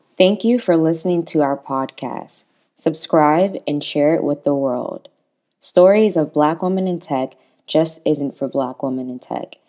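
A woman's very deep, low pitch with a dark, mellow tone, at a fairly slow pace and with ordinary pitch variation. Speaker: podcast host. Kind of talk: scripted intro and outro.

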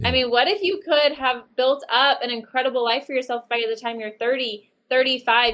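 A woman's high-pitched, bright, sharp voice with an American accent, ordinary pitch variation, and a moderate pace. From Oklahoma City, Oklahoma. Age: 30s. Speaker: real estate team owner. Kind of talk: interview.

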